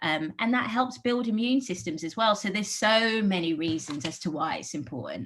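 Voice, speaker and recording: A woman with a London accent speaks at a medium pitch and a moderate pace, with vocal fry. Her pitch swings very widely and she hardly pauses at all. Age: 40s. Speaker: park programme manager at an art gallery. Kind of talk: interview.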